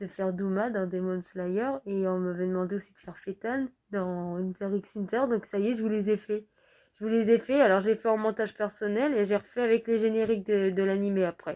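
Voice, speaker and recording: A woman's medium-pitched voice, dark and mellow in tone, with fairly even intonation and a moderate pace. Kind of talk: casual talk to camera.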